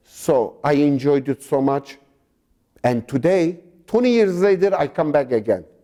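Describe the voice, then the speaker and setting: A man with a Turkish accent talks at a fairly slow pace in a dark, mellow tone, his pitch fairly high. His intonation is lively and his loudness stays very even. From Turkey (Sivas region). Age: 60s. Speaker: genocide survivor descendant. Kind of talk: interview. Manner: halting.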